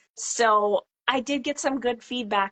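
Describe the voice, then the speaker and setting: Over a quiet background, a woman with a Minnesota accent speaks with ordinary pitch variation in a dry, close sound with no echo. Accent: Upper Midwest (Minnesota). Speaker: farmhouse renovator and vintage seller. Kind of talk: casual chat. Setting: live video call.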